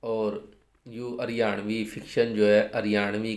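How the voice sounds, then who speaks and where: Against a quiet background, a man talks at a fairly slow pace in a fairly low pitch with monotone, flat intonation. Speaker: storyteller. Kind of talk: casual introduction to channel viewers. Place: home room.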